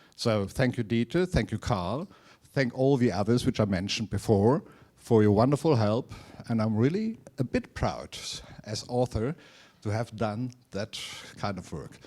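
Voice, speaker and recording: A man speaks with a German accent at medium pitch and a moderate pace. His tone is dark and mellow, with ordinary pitch variation. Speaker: author of a company history. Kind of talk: talk to society. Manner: halting.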